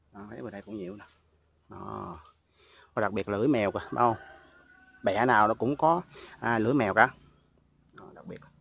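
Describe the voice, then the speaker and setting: A man with a fairly low voice and some vocal fry speaks at a moderate pace, with ordinary pitch variation, big swings in loudness, and long, frequent pauses, in a dry recording with no echo. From Mekong Delta, Vietnam (Vinh Long); Mekong Delta, Vietnam. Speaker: YouTuber showing a family coconut garden. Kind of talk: casual vlog walk-through. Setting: outdoors in a coconut garden. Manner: halting, many fillers. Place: garden. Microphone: phone near.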